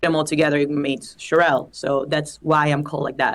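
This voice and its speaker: At a moderate pace, a woman speaks with an Italian accent. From Italy. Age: 20s. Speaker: singer-songwriter. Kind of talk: interview.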